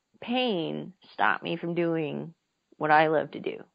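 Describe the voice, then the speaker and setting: A woman speaks at a very slow pace with an American accent. Her pitch is very deep and low. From Philadelphia, US. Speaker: Paralympic archer. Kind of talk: interview. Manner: halting, many repetitions.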